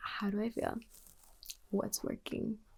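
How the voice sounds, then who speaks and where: Soft-spoken, a woman talks at a fairly slow pace. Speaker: ASMR creator. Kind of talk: ASMR livestream talk.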